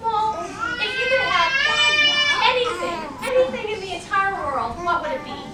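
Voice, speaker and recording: This woman uses a put-on character voice. She speaks at a moderate pace. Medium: read story.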